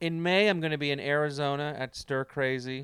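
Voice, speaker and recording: A man has an ordinary speaking voice. His pitch is fairly high, with ordinary pitch variation. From Canada. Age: 40s. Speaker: comedian and podcast co-host. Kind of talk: casual chat. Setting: remote call.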